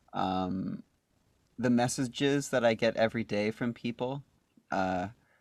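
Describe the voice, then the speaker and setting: A man with an unremarkable speaking voice talks at a fairly slow pace and medium pitch, with ordinary pitch variation, in a dry, close sound with no echo. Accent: Canadian. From Canada, Calgary, Alberta. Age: 20s. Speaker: singer-songwriter. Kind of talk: casual interview. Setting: podcast.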